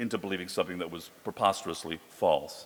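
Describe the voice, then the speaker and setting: In a New York accent, the speaker rushes along at a very fast pace with ordinary pitch variation. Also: man. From New York City. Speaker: psychology professor. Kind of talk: panel talk. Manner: halting, repeats words.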